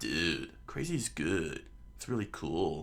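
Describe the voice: A slow, put-on character voice full of vocal fry, with big pitch swings. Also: man, extremely low pitch for a man.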